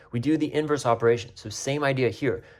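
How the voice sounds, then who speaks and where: A man talks in a somewhat breathy voice. The recording is very clean, with a silent background. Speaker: math teacher. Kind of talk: tutorial. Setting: recorded video. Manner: fast.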